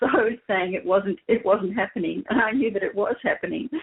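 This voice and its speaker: Ordinary pitch variation marks a woman speaking with an Australian accent. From Australia, Melbourne. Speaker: spiritual guest. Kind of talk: interview. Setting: internet radio show.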